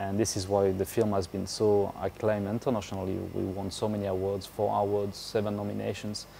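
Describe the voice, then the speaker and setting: A man with a French accent speaks at a fairly quick pace and fairly low pitch. His tone is dark and mellow, his intonation monotone and flat. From France. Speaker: motorcycle rally racer. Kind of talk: interview. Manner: hesitant, many fillers.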